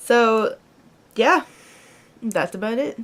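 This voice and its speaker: Speaking at a very slow pace, a woman shows ordinary pitch variation. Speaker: vlogger. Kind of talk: casual vlog talk to camera. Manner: casual, filler-heavy.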